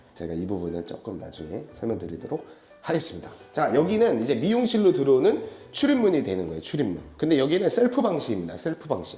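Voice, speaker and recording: With audible room echo around him, a man speaks with very wide pitch swings. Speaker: interior design company head giving site tour. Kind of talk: site walkthrough presentation. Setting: on location at a hair salon.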